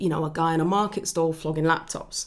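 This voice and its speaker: With fairly even intonation, a woman speaks at a fairly low pitch. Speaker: copywriting podcast host. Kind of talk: solo educational podcast.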